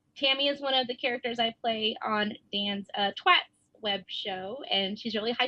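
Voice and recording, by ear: The speaker is reading aloud in a natural voice, with ordinary pitch variation.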